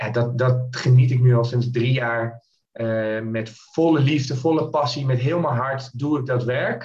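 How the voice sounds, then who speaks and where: With music in the background, a man talks at a fairly slow pace with fairly even intonation. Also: medium pitch for a man. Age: 30s. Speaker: mindset coach. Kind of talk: podcast interview.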